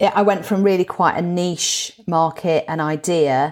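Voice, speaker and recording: Recorded very cleanly against a silent background, a woman with a northern English accent talks at a moderate pace and a fairly low pitch. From northern England. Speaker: motivational speaker. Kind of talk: interview. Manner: chatty.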